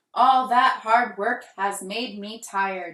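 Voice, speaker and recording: A put-on character voice delivers its lines at a fairly slow pace with fairly even intonation, carrying a slight echo. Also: woman, fairly high pitch for a woman. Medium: read story.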